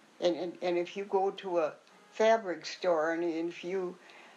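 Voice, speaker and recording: A woman speaks at a moderate pace and a medium pitch, her intonation fairly even, with noticeable background noise behind her. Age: 80s+. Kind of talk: interview answer.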